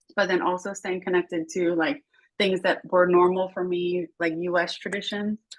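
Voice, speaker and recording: A woman with an American accent speaks at a medium pitch and a moderate pace. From United States. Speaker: international education professional. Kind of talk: panel conversation. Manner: animated.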